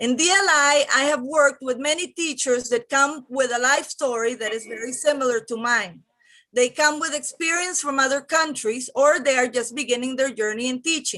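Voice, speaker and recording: With a Spanish accent, the voice is raised and projected, bright and sharp in tone, with ordinary pitch variation and hardly any pauses. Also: woman, high pitch for a woman, moderate pace. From Venezuela. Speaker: teacher, public commenter. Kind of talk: prepared public comment.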